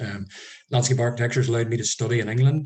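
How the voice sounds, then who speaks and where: In a Northern Irish accent, a man speaks at a medium pitch with a dark, mellow tone that is somewhat breathy. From rural Northern Ireland. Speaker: landscape architect. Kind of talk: online workshop presentation. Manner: hesitant, many fillers.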